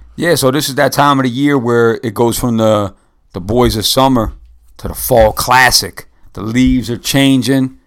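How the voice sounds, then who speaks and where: Here a man speaks with an American accent and a normal speaking voice at medium pitch. His intonation is fairly even and his pace moderate. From New York or New Jersey area. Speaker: podcast host. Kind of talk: casual sports chat.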